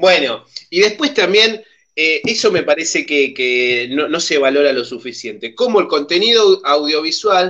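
A man speaks at a high pitch with an Argentine accent, his pitch swinging very widely. His pace is fairly slow, and the background is quiet. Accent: Argentine Spanish (Rioplatense). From Argentina. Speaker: community TV host. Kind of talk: casual chat. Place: home room. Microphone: video call.

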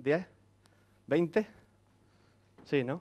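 At a fairly slow pace, a man speaks with an Andalusian accent. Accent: Andalusian (Córdoba). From Andalusia, Córdoba (Spain); Andalusia, Spain. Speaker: software engineer, conference speaker; conference speaker. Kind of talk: conference talk. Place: classroom.

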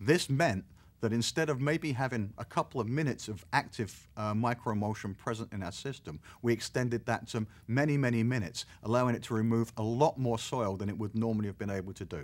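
Speaking at a fairly quick pace, a man keeps his pitch variation ordinary. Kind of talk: interview answer. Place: studio.

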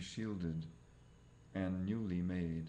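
A man with a dark, mellow tone speaks at a fairly slow pace in a fairly low pitch. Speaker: reader of translated texts. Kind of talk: audiobook-style reading aloud of translated scripture. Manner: formal, even, deliberate. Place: home room. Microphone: webcam.

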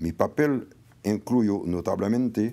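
A man's fairly low voice with a dark, mellow tone and ordinary pitch variation. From Haiti. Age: 70s. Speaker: former diplomat and political consultant; guest. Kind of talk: formal speech. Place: hall. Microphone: podium.

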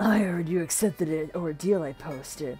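A middle-pitched, put-on character voice at a moderate pace over faint music in the background

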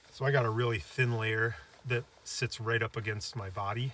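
A man speaks at a moderate pace with fairly even intonation, the sound dry with no echo and noticeable noise in the background. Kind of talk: tutorial. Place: open country. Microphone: camera far.

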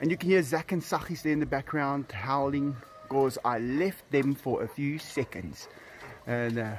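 With music in the background, a man talks at a fairly slow pace with lively intonation. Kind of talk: casual vlog chat. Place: garden. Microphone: phone near.

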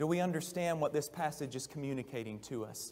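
This is a man's voice. His intonation is lively. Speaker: preacher. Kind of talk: sermon. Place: church.

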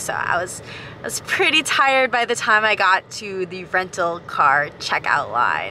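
A woman talks at a moderate pace with ordinary pitch variation. The sound is dry with no echo, with light background noise. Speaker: travel vlogger. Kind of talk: casual vlog chat. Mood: cheerful storytelling. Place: car. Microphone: phone near.

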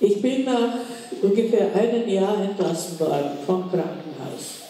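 Strong room echo surrounds a woman speaking at a very slow pace, with light background noise behind her. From Czech Republic. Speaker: Holocaust survivor and contemporary witness. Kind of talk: public lecture. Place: hall.

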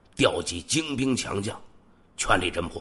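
A man with vocal fry and lively intonation, at a very slow pace against a quiet background. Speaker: true crime podcast host. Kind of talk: true crime storytelling narration. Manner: conversational with many filler particles.

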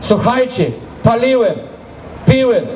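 Over light background noise, a man speaks at a fairly slow pace in an extremely high pitch with fairly even intonation. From Brazil. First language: Portuguese (speaking Polish). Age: 40s. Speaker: pastor. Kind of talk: testimony. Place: stage.

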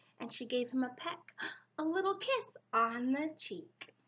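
A sing-song woman's voice with a warm, gentle tone, high pitch, very wide pitch swings and a fairly slow pace. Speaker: preschool teacher. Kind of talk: bedtime story reading aloud to young children. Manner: warm, gentle, animated sing-song storybook voice; pauses to ask children questions, expressive and slow-paced. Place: home room. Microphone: webcam.

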